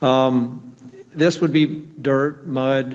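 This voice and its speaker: Over noticeable background noise, a man speaks at a medium pitch with monotone, flat intonation. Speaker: nuclear plant engineer presenting inspection findings. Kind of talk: technical presentation at public meeting.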